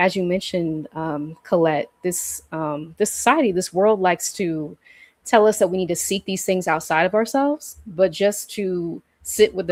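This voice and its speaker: A woman with a normal speaking voice talks at a moderate pace and fairly low pitch, with ordinary pitch variation. The sound is dry and close, with no echo. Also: very clean recording, silent background. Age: 30s. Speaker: healing practitioner. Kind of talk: casual chat.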